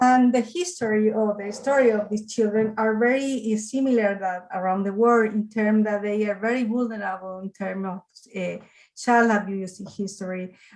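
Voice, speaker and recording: A Spanish accent with fairly even intonation. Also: woman, fairly high pitch for a woman, moderate pace. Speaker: juvenile justice practitioner. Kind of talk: audience comment. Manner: halting.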